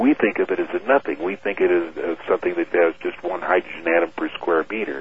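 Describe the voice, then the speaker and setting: Noticeable background noise sits behind a man's voice. He talks at a fairly quick pace with hardly any pauses. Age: 50s. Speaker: airline captain and UFO researcher. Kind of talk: radio interview.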